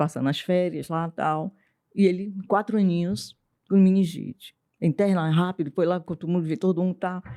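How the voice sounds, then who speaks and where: Dark, mellow tone at a moderate pace, with fairly even intonation and a dry, close sound with no echo. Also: woman, fairly low pitch for a woman. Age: 60s. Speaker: writer and psychoanalyst. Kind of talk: testimony.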